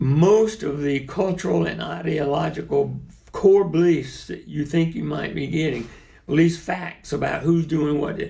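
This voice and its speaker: With a South Carolina accent, a man talks at a fairly slow pace, with audible room echo and noticeable background noise. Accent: Southern American (South Carolina). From US South. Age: 70s. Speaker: lawyer and activist. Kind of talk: interview.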